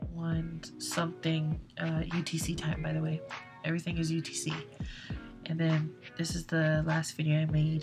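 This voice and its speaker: Clear music plays behind a soft-spoken woman who mumbles at a moderate pace. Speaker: space weather hobbyist. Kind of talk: casual screen-recording explainer. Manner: soft-spoken, mumbling. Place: home room.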